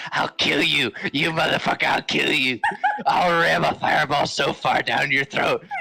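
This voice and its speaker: The put-on character voice sits at a middle pitch and moves at a moderate pace. It sounds raspy and strained. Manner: shouting, threatening.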